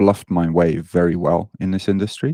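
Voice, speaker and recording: Deep and very low in pitch, a man with a British accent speaks in a dark, mellow tone at a moderate pace. His intonation is fairly even, and the sound is dry and close with no echo. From Britain. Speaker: online fitness coach. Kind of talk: podcast interview.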